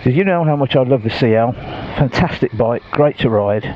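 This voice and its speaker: Over noticeable background noise, a man talks at a moderate pace. His intonation is lively. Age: 60s. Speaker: motorcycle vlogger. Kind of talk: casual vlog talk to camera.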